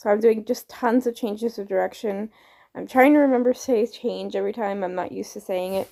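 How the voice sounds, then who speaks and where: In a very clean recording with a silent background, a woman with a dark, mellow tone and fairly high pitch talks at a fairly quick pace with ordinary pitch variation. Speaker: horse trainer. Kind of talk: tutorial.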